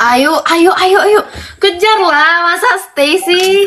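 Lively intonation at a very slow pace. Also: woman. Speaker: livestream host. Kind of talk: excited livestream chatter to viewers. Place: home room. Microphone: phone near.

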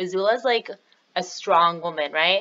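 A woman talks at a very fast pace in an animated, bright, sharp tone. Her pitch varies in an ordinary way. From Canada. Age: 20s. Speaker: YouTuber. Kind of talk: casual chat. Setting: video call. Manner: animated, giggly. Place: home room. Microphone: webcam.

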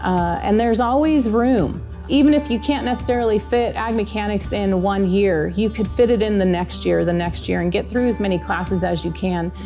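A woman speaks at a moderate pace. Clear music sounds in the background. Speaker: agriculture mechanics teacher. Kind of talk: interview answer. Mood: warm, enthusiastic. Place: workshop.

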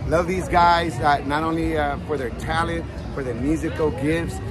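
A man talks at a fairly quick clip. Behind him, clear music can be heard. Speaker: community radio host. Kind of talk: casual vlog chat. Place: street. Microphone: phone near.

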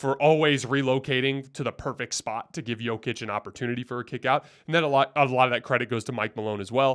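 Over a quiet background, a man talks at a very fast pace with hardly any pauses. His intonation stays fairly even. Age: 30s. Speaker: basketball podcast host. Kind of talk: solo sports commentary. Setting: studio. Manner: casual. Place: home room. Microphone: studio mic.

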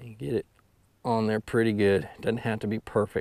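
A man's fairly low, slightly mellow voice at a moderate pace

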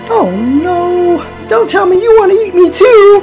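Faint music plays behind a put-on character voice with lively intonation. The pace is fairly slow and the tone slightly mellow.

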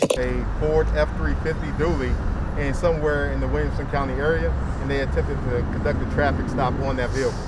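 Against loud background noise, a man talks with hardly any pauses in a dry sound with no echo. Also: fairly quick pace. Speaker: police spokesperson. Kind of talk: press briefing answers. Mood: calm, measured, official. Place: street. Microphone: handheld.

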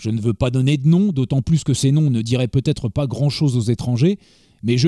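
The recording is very clean, with a silent background and a dry, close sound with no echo. The voice has a dark, mellow tone and moves at a moderate pace. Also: man. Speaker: audiobook narrator. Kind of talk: literary audiobook reading of a 1920 essay. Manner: measured, grave, formal.

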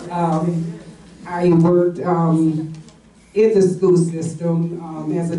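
With an American accent, a woman speaks at a fairly low pitch. Audible room echo surrounds her voice. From West Virginia. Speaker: panelist. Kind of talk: panel discussion, personal recollection. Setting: stage with audience, microphone. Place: meeting room. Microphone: camera far.

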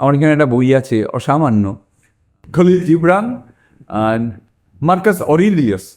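A man speaks with very wide swings in pitch. The recording is very clean, with a silent background. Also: fairly high pitch for a man. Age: 60s. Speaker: life coach and theatre actor. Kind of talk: motivational talk. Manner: halting.

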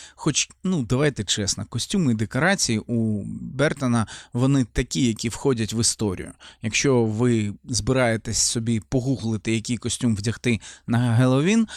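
The voice moves at a moderate pace with ordinary pitch variation. The sound is dry and close, with no echo and a silent background in a very clean recording. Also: man, very even loudness. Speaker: film reviewer. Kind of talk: film review monologue. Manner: animated.

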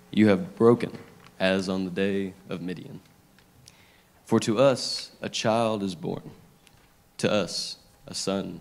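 Ordinary pitch variation shapes this man's fairly low voice. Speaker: scripture reader at a church service. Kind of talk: scripture reading. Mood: solemn, measured. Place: church. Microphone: handheld.

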